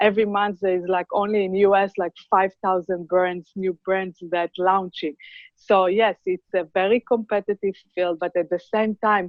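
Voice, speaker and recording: A woman with an Israeli accent at a medium pitch, at a moderate pace, with monotone, flat intonation. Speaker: cosmetics brand founder. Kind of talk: interview.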